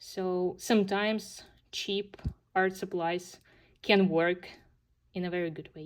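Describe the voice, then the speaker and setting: In a Ukrainian accent, a woman talks very slowly at a medium pitch, her intonation monotone and flat. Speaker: coloring hobby YouTuber. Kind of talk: casual video monologue showing completed pages. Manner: hesitant, many fillers.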